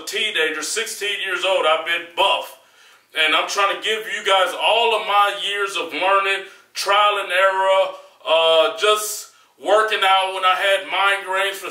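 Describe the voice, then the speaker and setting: A man's raised, projected voice at a fairly slow pace, fairly even intonation and audible room echo. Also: quiet background. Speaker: fitness vlogger. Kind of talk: casual advice vlog monologue. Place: gym.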